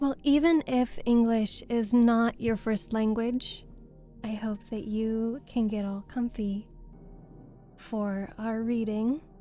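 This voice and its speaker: Music plays behind a woman with a fairly high pitch. She talks at a very slow pace with fairly even intonation. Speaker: voice actor. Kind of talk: casual livestream chat with viewers. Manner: soft-spoken, cozy.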